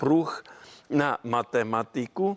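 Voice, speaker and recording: Recorded with a dry, close sound and no echo, a man with a fairly high pitch speaks at a very slow pace. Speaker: mathematician and teacher. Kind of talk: interview.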